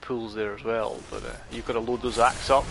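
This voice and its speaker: Music plays in the background behind a man with a Scottish accent. His pitch is medium and his intonation fairly even. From Scotland. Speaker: gaming streamer. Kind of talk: casual gameplay commentary. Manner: halting, many fillers.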